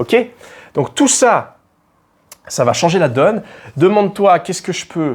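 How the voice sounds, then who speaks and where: In a very clean recording with a silent background, a man speaks in a high pitch at a fairly slow pace, with very wide pitch swings, big swings in loudness, and long, frequent pauses. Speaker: dating and confidence coach. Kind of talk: motivational advice monologue. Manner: casual, informal, with hesitations.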